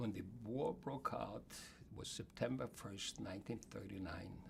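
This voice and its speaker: Speaking at a fairly slow pace, a man with a fairly low pitch uses lively intonation and vocal fry, and his loudness swings widely. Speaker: Holocaust survivor. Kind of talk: interview answer.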